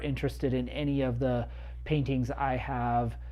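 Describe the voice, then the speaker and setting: A man speaks with audible room echo. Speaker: amateur painter livestreamer. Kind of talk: casual livestream tutorial. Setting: home studio. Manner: hesitant with frequent fillers.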